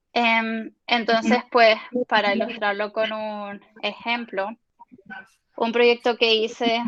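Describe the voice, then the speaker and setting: The woman speaks very slowly in a fairly high, monotone voice. Her flat delivery has long, frequent pauses. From Spain. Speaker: UX designer and researcher. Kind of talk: guest lecture. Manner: hesitant, many fillers.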